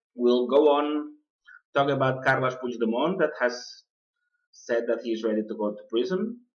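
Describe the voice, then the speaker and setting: At a moderate pace, a man with a non-native accent speaks at a medium pitch with ordinary pitch variation. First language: not English. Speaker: political podcast host. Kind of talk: political commentary podcast. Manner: halting, many fillers.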